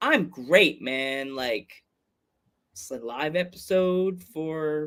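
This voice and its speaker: A man with a Long Island accent and a fairly high pitch speaks with ordinary pitch variation, big swings in loudness, and long, frequent pauses. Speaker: podcast host. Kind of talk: casual chat. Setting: live streamed podcast.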